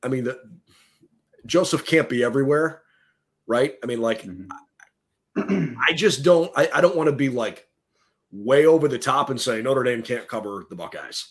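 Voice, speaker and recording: A man's medium-pitched voice, an ordinary speaking voice, with lively intonation. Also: moderate pace, very clean recording, silent background. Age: 30s. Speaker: sports podcast host. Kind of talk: casual sports talk.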